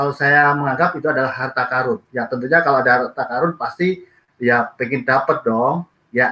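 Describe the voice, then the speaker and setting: This man's tone is bright and sharp, with ordinary pitch variation and a fairly quick pace. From East Java, Indonesia. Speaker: network marketing leader; guest. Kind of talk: business presentation. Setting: video call from Japan.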